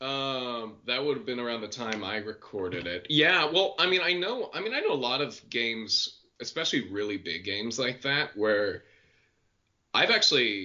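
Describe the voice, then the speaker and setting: Very wide pitch swings mark this voice, which moves at a moderate pace. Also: man, medium pitch for a man. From US Pacific Northwest, Portland. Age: 20s. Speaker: voice actor. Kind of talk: casual interview chat.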